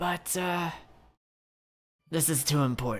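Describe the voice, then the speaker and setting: Someone puts on a raspy character voice at a middle pitch and a fairly slow pace. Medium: actual play. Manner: casual, confident.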